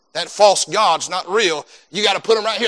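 A man's high-pitched, raised and projected voice with a bright, sharp tone. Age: 30s. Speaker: pastor. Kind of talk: sermon.

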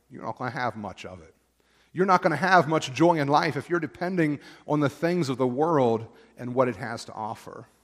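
An ordinary speaking voice comes from a man with an American accent and a fairly high pitch. He talks fairly quickly with lively intonation, on a very clean recording with a silent background. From Pennsylvania, Perry County (rural). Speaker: pastor. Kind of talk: sermon. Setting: church.

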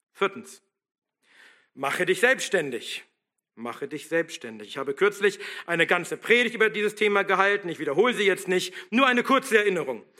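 A man with a high pitch speaks fairly quickly in a bright, sharp tone and a raised, projected voice, leaving long, frequent pauses. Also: lively intonation. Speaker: pastor. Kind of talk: sermon, fiery and combative, rallying the congregation to stand firm. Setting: church. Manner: forceful, emphatic, exhorting; rousing, militant, driving rhetorical questions.

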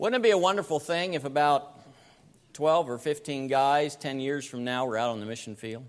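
With an American accent and an unremarkable speaking voice, a man speaks at a moderate pace and fairly high pitch with ordinary pitch variation. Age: 60s. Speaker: preacher. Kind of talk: sermon.

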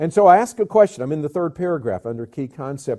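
A man talks in a Southern US accent. His tone is dark and mellow. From US South (Georgia, Alabama). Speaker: pastor and mission agency director. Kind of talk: sermon-style Bible teaching. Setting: church.

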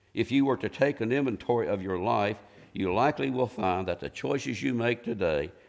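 A man with an American accent speaks at medium pitch with vocal fry, captured in a very clean recording against a silent background. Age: 70s. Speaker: lay preacher. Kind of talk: sermon.

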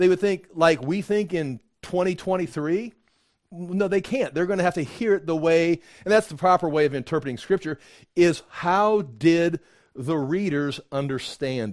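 A man with an American accent, high-pitched, at a moderate pace, with ordinary pitch variation and big swings in loudness, in a very clean recording with a silent background. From USA. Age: 60s. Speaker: pastor. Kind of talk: sermon. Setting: church. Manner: halting.

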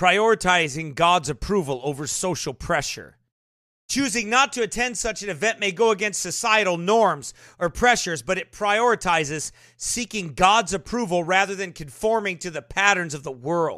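A bright, sharp voice, raised and projected, speaks at a moderate pace with an animated, passionate tone and lively intonation. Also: man, high pitch for a man. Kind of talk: live sermon-style commentary. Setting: live online broadcast. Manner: animated, passionate, preachy.

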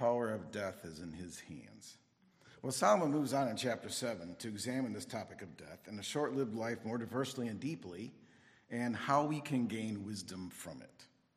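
A man with a medium pitch and vocal fry speaks with lively intonation in a room with audible echo. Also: moderate pace, big swings in loudness. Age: 60s. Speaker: Bible teacher. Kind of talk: sermon.

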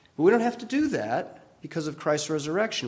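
Audible room echo hangs around a man's speaking voice. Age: 60s. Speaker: pastor. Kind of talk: sermon.

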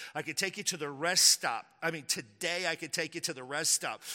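The recording is very clean with a silent background, carrying a man's animated voice at a high pitch. His tone is bright and sharp, with ordinary pitch variation at a moderate pace. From Texas. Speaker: pastor. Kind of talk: sermon. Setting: church. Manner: animated, forceful preacher in full flow, building with repeated phrases; casual, joking, conversational.

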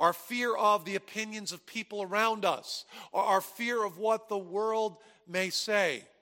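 A raised, projected male voice, high and bright with a sharp tone, in an American accent, at a fairly slow pace with ordinary pitch variation. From New Jersey. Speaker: pastor. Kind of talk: sermon.

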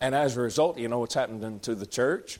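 A man at medium pitch with an American accent. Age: 30s. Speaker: pastor. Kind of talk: Bible study teaching.

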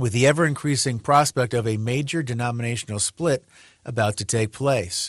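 A man at medium pitch, somewhat breathy, talking at a fairly quick pace with ordinary pitch variation. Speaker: radio host. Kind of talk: radio talk show monologue, casual sermon-like. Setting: radio studio broadcast. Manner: conversational; halting, self-correcting.

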